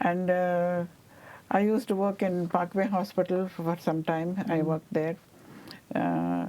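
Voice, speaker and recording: A woman with an Indian accent at a medium pitch and a fairly slow pace. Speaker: Indian immigrant, oral history interviewee. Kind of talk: oral history interview answer. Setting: studio.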